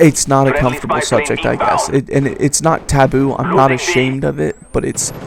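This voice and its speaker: A man of medium pitch mumbles at a fairly quick pace. His intonation stays fairly even against noticeable background noise. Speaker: gaming commentator. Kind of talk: personal talk over gameplay. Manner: halting, stuttering; mumbling.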